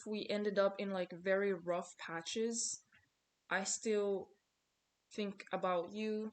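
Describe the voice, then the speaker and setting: With a non-native accent, a woman keeps her intonation fairly even. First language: not English. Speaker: small content creator, vlogger. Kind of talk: casual motivational vlog monologue. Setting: talking to camera. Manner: conversational, repetitive. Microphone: poor video quality.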